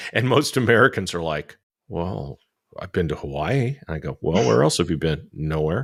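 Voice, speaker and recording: Vocal fry marks a man's very deep, low pitch, which moves in very wide pitch swings, with a dry, close sound with no echo on a very clean recording with a silent background. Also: moderate pace. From California. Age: 60s. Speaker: podcast host. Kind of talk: interview.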